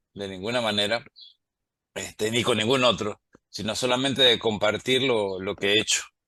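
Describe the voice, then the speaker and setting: Over a quiet background, a man talks at a moderate pace with a fairly low pitch. His tone is bright and sharp, and his intonation fairly even. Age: 60s. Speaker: statistics professor and biologist. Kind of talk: interview conversation. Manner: hesitant with fillers.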